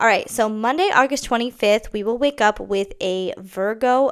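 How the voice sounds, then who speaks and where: In a very clean recording with a silent background, a woman talks in an animated tone with ordinary pitch variation. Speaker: astrologer. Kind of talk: horoscope reading. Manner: fast.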